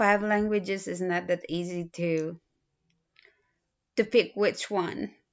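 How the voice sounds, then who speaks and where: A woman with a strong Filipino accent and medium pitch, at a very slow pace with long, frequent pauses and fairly even intonation. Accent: thick Filipino. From Philippines. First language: a Philippine language. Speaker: student. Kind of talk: self-introduction video. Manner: halting, with fillers.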